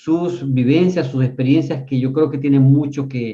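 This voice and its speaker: A man's fairly high, somewhat breathy voice, dark and mellow in tone, with fairly even intonation. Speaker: interviewer. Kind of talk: interview questions.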